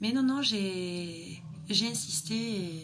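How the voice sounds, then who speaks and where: Noticeable background noise and audible room echo surround the speaker, a woman. Her pitch varies in an ordinary way. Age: 20s. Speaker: beautician. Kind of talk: personal vlog monologue. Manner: hesitant, many fillers.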